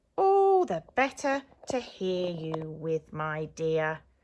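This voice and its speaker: A woman's put-on character voice, fairly low in pitch, at a very slow pace. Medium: read story. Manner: sly, gloating.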